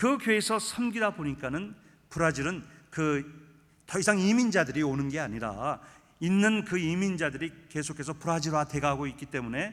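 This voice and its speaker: With lively intonation and a fairly high pitch, a man speaks at a moderate pace in a very clean recording with a silent background. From Brazil (Korean immigrant community, São Paulo). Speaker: guest pastor at revival meeting. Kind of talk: sermon. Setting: church.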